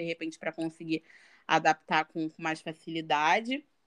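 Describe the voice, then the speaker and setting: A plain, everyday voice moves at a moderate pace. The sound is dry and close with no echo, over a quiet background. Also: woman. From Baixada Fluminense, Rio de Janeiro, Brazil. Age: 20s. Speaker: fashion designer and content creator. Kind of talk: casual chat.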